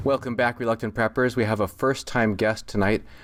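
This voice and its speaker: A man speaks at a fairly quick pace with fairly even intonation in a normal speaking voice. The recording is very clean, with a silent background. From Minnesota, US Midwest. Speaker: podcast host. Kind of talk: interview.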